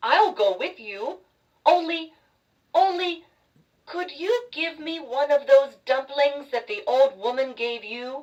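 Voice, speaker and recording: The voice is a high-pitched, put-on character voice. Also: fairly slow pace. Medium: read story.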